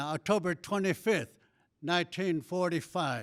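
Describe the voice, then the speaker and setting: On a very clean recording with a silent background, a man with a Southwestern US accent speaks at a moderate pace in a high pitch, with ordinary pitch variation. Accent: Navajo-accented English. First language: Navajo. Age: 80s+. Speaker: war veteran. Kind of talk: formal speech at an event.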